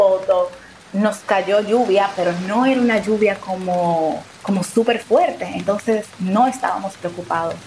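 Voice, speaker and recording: A woman's medium-pitched voice at a fairly slow pace, fairly even intonation, noticeable background noise. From Dominican Republic. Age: 20s. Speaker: storyteller guest. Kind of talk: personal testimony.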